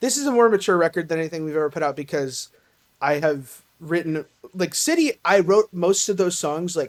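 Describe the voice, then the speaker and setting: A woman with a slight Southern US accent, fairly quick and lively in intonation, on a very clean recording with a silent background. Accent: slight Southern twang. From Tennessee, US South. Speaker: singer in a band. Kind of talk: podcast interview. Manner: halting, many fillers.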